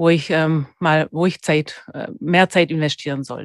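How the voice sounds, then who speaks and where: A woman with a Swabian accent and a fairly low voice speaks very slowly in a flat monotone, the sound dry and close with no echo. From Germany, Swabia (Stuttgart). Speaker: dental technician. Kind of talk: interview.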